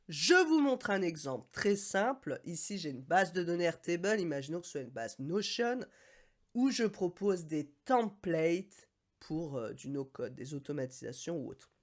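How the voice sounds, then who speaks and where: A woman with a fairly low pitch speaks at a moderate pace in an animated tone, her loudness swinging widely and her pitch rising and falling over a very wide range, on a very clean recording with a silent background. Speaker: no-code consultant and YouTuber. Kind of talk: tutorial.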